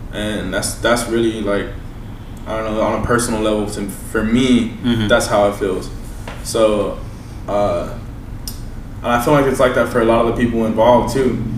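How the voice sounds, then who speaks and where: Long, frequent pauses break up a man's monotone, flat delivery in an American accent, with noticeable background noise and audible room echo. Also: medium pitch for a man, moderate pace. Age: 20s. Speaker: rapper. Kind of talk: casual chat. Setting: studio.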